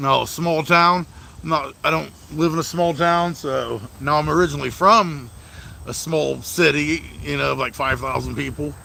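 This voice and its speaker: Speaking at a moderate pace, a man is heard against noticeable background noise. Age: 30s. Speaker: mobile mechanic and livestreamer. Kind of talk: casual livestream chat. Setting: outdoors by the garage. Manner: casual, lots of swearing fillers.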